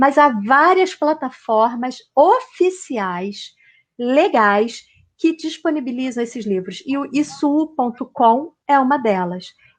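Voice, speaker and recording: This woman's voice is high-pitched, with lively intonation. She speaks at a very slow pace. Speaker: university professor, lecturer. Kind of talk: online lecture. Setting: video call, virtual talk.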